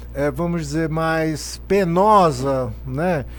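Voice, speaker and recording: A man is speaking. Music plays in the background. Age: 60s. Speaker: psychologist. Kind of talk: podcast conversation. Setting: studio.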